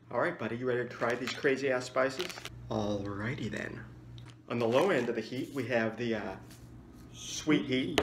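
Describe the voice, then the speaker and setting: A man talks at a moderate pace with ordinary pitch variation. His speech has long, frequent pauses, with noticeable background noise. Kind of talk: casual vlog chat. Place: home room. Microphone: phone near.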